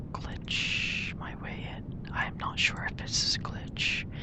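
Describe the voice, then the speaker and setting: Someone whispers at a very slow pace against noticeable background noise. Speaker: ASMR gamer. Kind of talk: gameplay walkthrough commentary. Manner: whispered.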